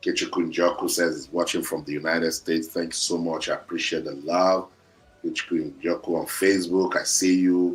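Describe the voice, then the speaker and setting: A man talks at a moderate speed while music plays in the background. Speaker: football commentator. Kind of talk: live stream commentary. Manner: repetitive, halting.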